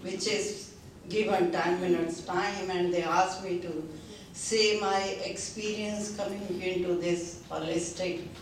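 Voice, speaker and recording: Amid noticeable background noise and audible room echo, a woman with an Indian accent speaks at a medium pitch and a fairly slow pace. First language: Hindi. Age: 70s. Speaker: seminar attendee giving testimony. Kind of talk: testimony speech. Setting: seminar with audience. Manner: halting, many fillers.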